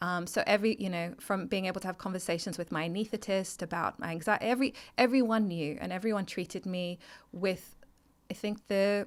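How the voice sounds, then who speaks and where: A woman with an Australian accent, medium pitch and ordinary pitch variation, at a fairly quick pace on a very clean recording with a silent background. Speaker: mental health advocate and founder. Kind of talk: interview testimony. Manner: halting.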